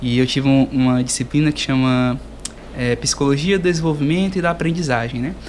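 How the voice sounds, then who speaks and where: A man at a fairly quick pace, with ordinary pitch variation and noticeable background noise. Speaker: podcast host, geography student. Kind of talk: casual interview.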